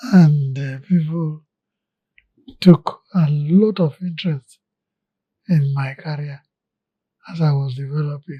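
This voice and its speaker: With long, frequent pauses, a man talks at a very slow pace in a fairly high, dark and mellow voice that is somewhat breathy, his intonation fairly even but his loudness swinging widely. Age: 80s+. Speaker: retired engineer and oil executive. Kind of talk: interview.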